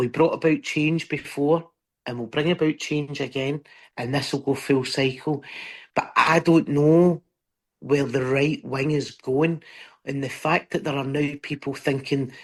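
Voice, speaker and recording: In a Scottish accent, a woman with a very deep, low voice speaks at a fairly slow pace with fairly even intonation. Her tone is passionate, and the background is quiet. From Scotland. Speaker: stand-up comedian. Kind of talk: interview answer. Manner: passionate, emphatic.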